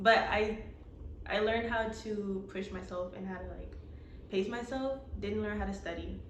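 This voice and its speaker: Soft-spoken, a woman talks at a moderate pace with long, frequent pauses and big swings in loudness. Noticeable background noise and audible room echo surround her. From Atlanta, Georgia. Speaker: graphic designer. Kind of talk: interview.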